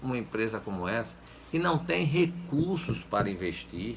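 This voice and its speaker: Vocal fry from a man at a moderate pace. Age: 70s. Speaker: former public official. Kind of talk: interview. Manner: halting, with many repetitions and fillers.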